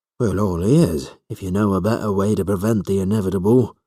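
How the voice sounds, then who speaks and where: A man puts on a raspy character voice at a fairly low pitch and a fairly quick pace. The recording is very clean, with a silent background. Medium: read story. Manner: measured, dry.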